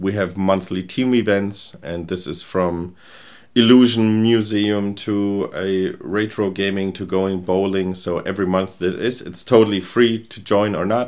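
The loudness swings widely from moment to moment. Delivery is fairly slow, with fairly even intonation. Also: man, fairly low pitch for a man. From Germany, Rheingau near Frankfurt. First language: German. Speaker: agency founder and product strategist. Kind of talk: interview.

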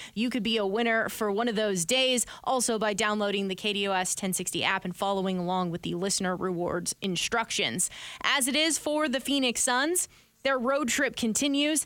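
In a plain, everyday voice, a woman speaks at a moderate pace with a fairly high pitch and lively intonation. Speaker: radio sports host. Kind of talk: casual sports talk radio.

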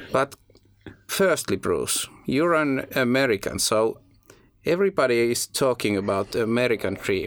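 A man at medium pitch with lively intonation, a moderate pace, and long, frequent pauses. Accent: Finnish. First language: Finnish. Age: young. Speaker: podcast host. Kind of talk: interview. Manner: halting.

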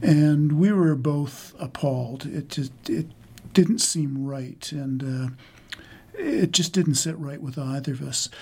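A man with a fairly high pitch and a dark, mellow, somewhat breathy tone speaks very slowly, with ordinary pitch variation. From rural Saskatchewan, Canada. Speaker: book editor. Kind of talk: interview answers.

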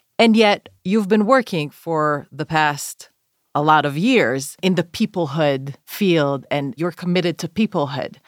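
Delivered at a fairly slow pace with lively intonation and an Israeli accent, the voice sounds dry and close with no echo on a very clean recording with a silent background. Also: woman, fairly low pitch for a woman. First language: Hebrew. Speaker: podcast host, scholar. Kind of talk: casual chat.

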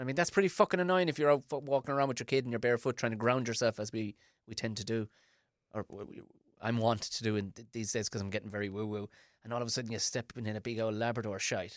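An Irish accent at a very fast pace, with ordinary pitch variation and big swings in loudness, in a very clean recording with a silent background and a dry, close sound with no echo. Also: man, medium pitch for a man. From Ireland. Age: 40s. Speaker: stand-up comedian and podcast host. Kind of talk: casual chat.

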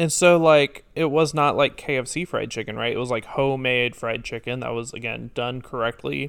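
Medium in pitch, this is an ordinary speaking voice from a man with fairly even intonation. He keeps a moderate pace with hardly any pauses. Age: 20s. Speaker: podcast co-host. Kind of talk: casual chat.

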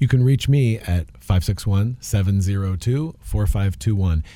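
The voice has a dark, mellow tone and sounds somewhat breathy. Its intonation is lively, at a moderate pace. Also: man. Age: 50s. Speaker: landscaping and pest control business owner, co-host. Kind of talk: radio talk show.

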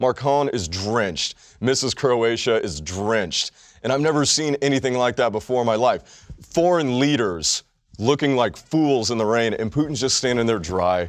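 Speaking at medium pitch and a moderate pace, a man sounds animated, with lively intonation. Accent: American. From Texas. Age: 30s. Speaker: sports podcast co-host. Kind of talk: casual chat.

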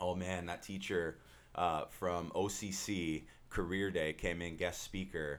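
A man speaks at a very deep, low pitch. The recording is very clean, with a silent background. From Southern California, Orange County. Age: 30s. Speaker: financial advisor. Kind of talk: podcast interview. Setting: studio. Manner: energetic.

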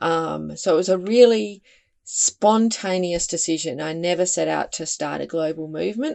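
A woman with an Australian accent speaks at a moderate pace, her fairly low pitch showing ordinary variation. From Western Australia. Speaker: environmental campaign founder and author. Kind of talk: interview conversation.

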